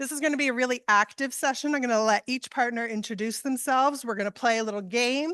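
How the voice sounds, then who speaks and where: Loud and fairly high-pitched, a woman speaks at a very fast pace in a bright, sharp tone with ordinary pitch variation, her dry, close sound having no echo against a quiet background. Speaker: panel moderator. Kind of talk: conference panel introduction.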